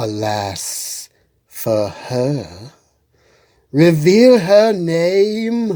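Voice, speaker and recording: This put-on character voice moves very slowly, with long, frequent pauses and very wide pitch swings. A hissing sound runs through it. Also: man, high pitch for a man. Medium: read story. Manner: commanding, cold.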